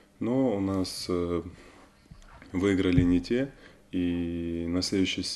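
Very deep, low pitch from a man with a dark, mellow tone against a quiet background. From Ukraine, Kherson region. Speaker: Olympic rower. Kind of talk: studio interview. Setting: TV studio. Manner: halting with many fillers.

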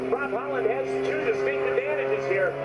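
Music can be heard behind the speech. The man talks fairly quickly. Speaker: airshow announcer. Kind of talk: commentary. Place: open country.

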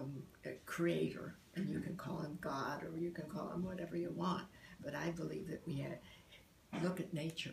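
With audible room echo and light background noise, a woman speaks at a fairly low pitch and moderate pace, her intonation fairly even. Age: 80s+. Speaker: artist, poet and meditation practitioner. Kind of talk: interview answer. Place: home room. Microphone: phone near.

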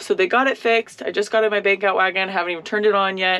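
A woman's very fast speech. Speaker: farmer vlogger. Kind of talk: casual vlog chat. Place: farm machine. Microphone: phone near.

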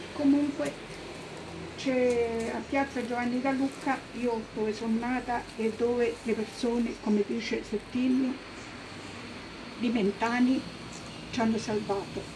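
A woman speaks in a high pitch at a fairly slow pace, with fairly even intonation and long, frequent pauses. Noticeable background noise runs under her voice. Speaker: witness. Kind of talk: personal testimony speech. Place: street.

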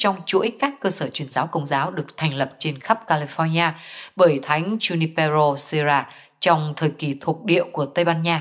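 At a fairly slow pace, a woman with a fairly low pitch speaks in an unremarkable speaking voice. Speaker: news reader. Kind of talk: news reading.

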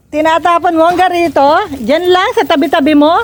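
Extremely high-pitched, a woman talks at a moderate pace in an animated tone with ordinary pitch variation. Noticeable background noise sits behind her. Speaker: vlogger. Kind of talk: casual chat. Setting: outdoors.

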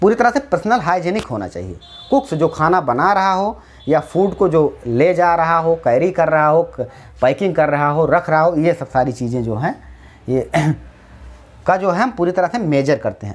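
A man with a high pitch talks at a moderate pace. His intonation is lively. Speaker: teacher. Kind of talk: lecture. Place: classroom. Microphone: lapel.

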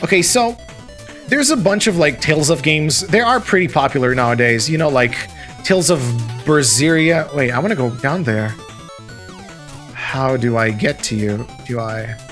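Over music in the background, a man with a fairly high pitch speaks at a moderate pace with lively intonation and long, frequent pauses. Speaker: gamer, let's play commentator; video game developer. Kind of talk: casual gameplay commentary.

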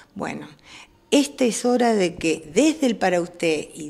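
A woman speaks with lively intonation. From Argentina, Moreno (Buenos Aires). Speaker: newspaper director and teacher. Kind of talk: interview.

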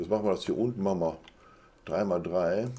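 A man's pitch is very deep and low. He talks at a fairly quick pace. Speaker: gaming live streamer. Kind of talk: casual gameplay commentary. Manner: casual, chatty.

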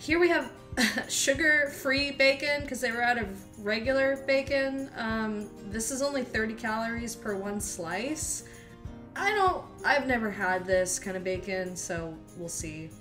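Clear music plays in the background as the speech moves at a fairly slow pace. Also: woman. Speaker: home vlogger. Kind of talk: casual grocery haul chat. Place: kitchen. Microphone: phone near.

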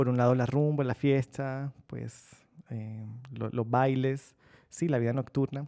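Against a quiet background, a man with a dark, mellow tone speaks at a medium pitch, very slowly, in a monotone, flat intonation. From Colombian Caribbean coast, Barranquilla; Colombian Caribbean coast. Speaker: novelist; interviewee. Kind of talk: interview answers. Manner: reflective, with hesitations. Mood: relaxed, smiling, reflective. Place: studio.

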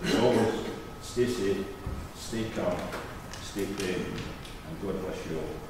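A man speaks slowly in a low voice with ordinary pitch variation, with clear background noise and audible room echo.

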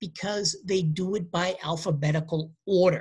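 Someone with a Boston accent talks at a fairly slow pace. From US Northeast, Boston. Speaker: university lecturer. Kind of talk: lecture. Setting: home recording during quarantine. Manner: halting.

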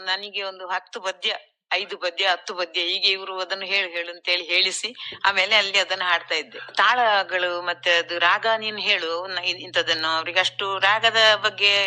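Her tone bright and sharp, a woman speaks at a medium pitch with monotone, flat intonation and big swings in loudness. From Kasaragod, Kerala (Tulu Nadu coast). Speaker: yakshagana singer. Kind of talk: radio interview.

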